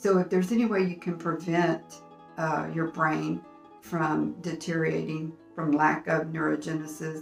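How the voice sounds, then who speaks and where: Music plays in the background as a woman with a very deep, low pitch speaks fairly slowly with fairly even intonation. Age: 70s. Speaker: senior health YouTuber. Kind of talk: casual talk to camera.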